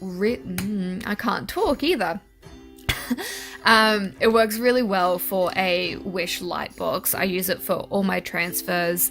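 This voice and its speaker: Music plays behind a woman who speaks very slowly at medium pitch, with ordinary pitch variation and a New Zealand accent. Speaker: artist. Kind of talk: casual voice-over narration.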